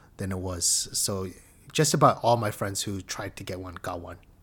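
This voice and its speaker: A man speaks with a somewhat breathy voice. His pace is fairly quick. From Korean heritage. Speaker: former semi-pro gamer. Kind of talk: casual chat.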